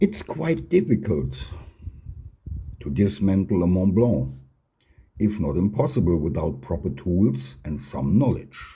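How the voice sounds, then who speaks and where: A man with a non-native accent speaks at a very deep, low pitch and a fairly slow pace, with long, frequent pauses. His voice has a dark, mellow tone, vocal fry, and very wide pitch swings. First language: not English. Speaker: fountain pen hobbyist and channel host. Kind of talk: tutorial.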